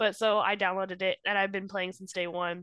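A woman talks at a fairly quick pace in a bright, sharp tone. The sound is dry and close with no echo, and the background is quiet. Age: 30s. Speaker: podcast co-host. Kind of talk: casual chat.

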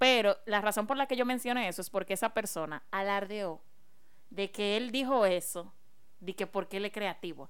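A woman with an ordinary speaking voice talks at a medium pitch and moderate pace, with ordinary pitch variation, in a very clean recording with a silent background. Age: 20s. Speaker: podcast co-host. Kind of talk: casual chat.

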